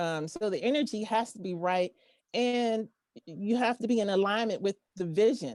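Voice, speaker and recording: A woman speaks in a plain, everyday voice with an American accent. Her pitch is fairly high and her intonation is lively. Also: moderate pace, dry, close sound with no echo. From Pittsburgh, Pennsylvania. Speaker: singer. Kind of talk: casual chat.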